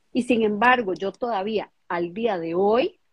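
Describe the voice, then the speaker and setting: A woman speaks at a fairly high pitch. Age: 50s. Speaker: emotional coach for women. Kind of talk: casual chat. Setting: video livestream.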